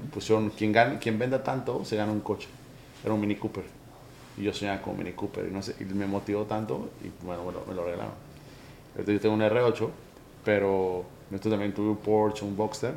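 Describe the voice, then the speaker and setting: Speaking at a fairly quick pace, a man with a fairly low voice keeps his intonation fairly even and takes long, frequent pauses. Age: 30s. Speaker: podcast host. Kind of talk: interview. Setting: office.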